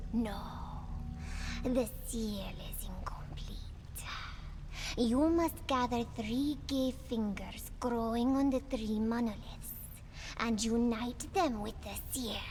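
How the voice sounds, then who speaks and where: A woman uses a put-on character voice, high-pitched and very slow, with long, frequent pauses and clear background noise. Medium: video game. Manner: cryptic, solemn, refers to herself as "she".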